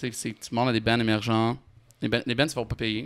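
Speaking at a moderate pace with a medium pitch, a man keeps a monotone, flat intonation on a very clean recording with a silent background. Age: 20s. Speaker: music manager. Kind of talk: casual chat.

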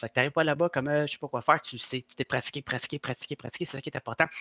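A man's bright, sharp voice carries fairly even intonation, with dry, close sound, no echo and a quiet background. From Quebec. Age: 40s. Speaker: stuntman. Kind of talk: casual interview chat.

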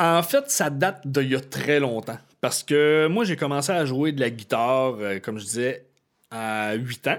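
A man speaks at a fairly slow pace with a fairly high pitch. His is an unremarkable speaking voice, on a very clean recording with a silent background. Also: ordinary pitch variation. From Quebec (Chibougamau). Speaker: musician. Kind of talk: casual chat.

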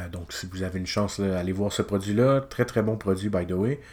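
A man with a Quebec accent speaks at a moderate pace. His pitch is fairly low. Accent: Québécois French. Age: 20s. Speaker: illustrator, podcast host. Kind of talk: casual solo podcast monologue. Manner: hesitant, many filler sounds.

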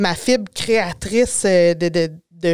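Pitch varies in an ordinary way as a woman speaks at a very slow pace. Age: 40s. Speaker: drafting technician and communications business owner. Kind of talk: podcast interview.

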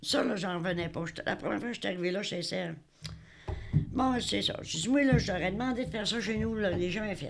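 The voice has vocal fry and lively intonation, moving at a fairly quick pace with long, frequent pauses and audible room echo. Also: woman, medium pitch for a woman. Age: old. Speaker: retired hospital switchboard operator, senior resident. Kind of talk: interview.

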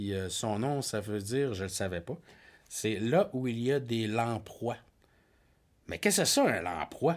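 A man with a medium-pitched voice and lively intonation speaks at a fairly slow pace with long, frequent pauses. The recording is very clean and the background silent. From Quebec North Shore, Innu community. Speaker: podcast co-host. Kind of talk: casual chat.

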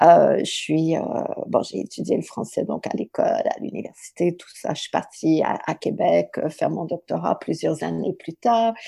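Fairly slow speech with big swings in loudness. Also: woman. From southern Ontario, Canada. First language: English (speaking French). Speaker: writer and literature professor. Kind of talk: interview.

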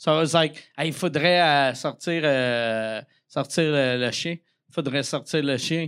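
In a Quebec accent, a man talks at a fairly slow pace with a fairly high pitch. The recording is very clean and the background silent. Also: ordinary pitch variation. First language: French. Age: 40s. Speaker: stand-up comedian. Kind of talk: casual chat. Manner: animated.

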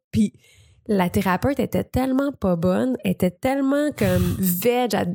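A woman speaks in a Quebec accent at medium pitch and a moderate pace, her intonation lively. The recording is very clean, with a silent background and a dry, close sound with no echo. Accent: Québécois French. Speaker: columnist. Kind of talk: casual chat.

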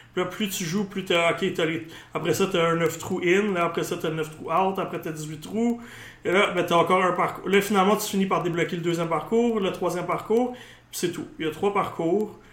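This man has a high voice and fairly even intonation. He talks at a fairly quick pace. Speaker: gaming podcast host. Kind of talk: casual chat.

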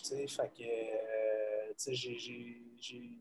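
A man is speaking. His tone is dark and mellow. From Quebec, South Shore of Montreal. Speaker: college football head coach. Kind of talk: casual interview.

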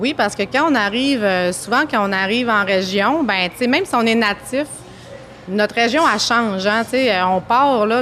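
A woman speaks at a moderate pace in a fairly high pitch. Her pitch varies in an ordinary way, with noticeable background noise. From Lac-Saint-Jean, Quebec. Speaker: regional settlement agent. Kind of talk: interview. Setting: café. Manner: halting.

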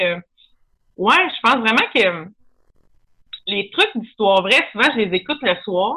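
A woman's lively intonation comes with a fairly slow pace. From Quebec, Lanaudière countryside. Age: 30s. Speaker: comedian. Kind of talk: casual chat.

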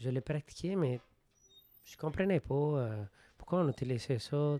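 Speaking at a fairly slow pace with a Spanish accent, a man has a fairly high pitch and a dark, mellow tone in a dry, close sound with no echo. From Venezuela. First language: Spanish (speaking French). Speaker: group facilitator. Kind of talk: casual interview.

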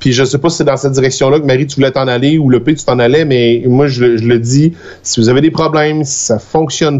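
With a Quebec accent, a man of medium pitch talks at a moderate pace in fairly even intonation. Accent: Québécois French. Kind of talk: casual live show chat. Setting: video call.

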